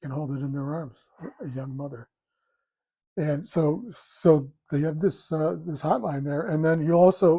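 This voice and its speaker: Speaking at a fairly slow pace with long, frequent pauses, a man uses a fairly high pitch with ordinary variation, a dark, mellow, somewhat breathy tone and big swings in loudness. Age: 70s. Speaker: political commentator. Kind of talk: solo commentary. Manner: halting with fillers.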